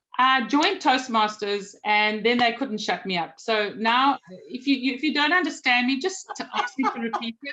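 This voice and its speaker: Lively in intonation, a woman with a South African accent speaks at a moderate pace, her high-pitched voice bright and sharp in tone. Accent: South African, noticeable. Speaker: magazine publisher. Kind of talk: interview conversation.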